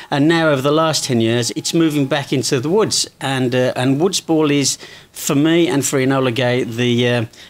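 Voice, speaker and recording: At a moderate pace and with very even loudness, a man with an English accent talks at fairly high pitch with ordinary pitch variation. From England. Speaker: event coordinator for a smoke grenade company. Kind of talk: interview.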